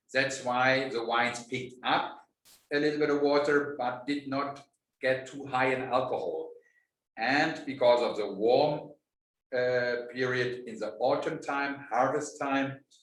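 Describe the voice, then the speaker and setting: A medium-pitched man at a fairly slow pace, his intonation fairly even, with audible room echo. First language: German. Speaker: winemaker. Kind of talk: interview. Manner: halting.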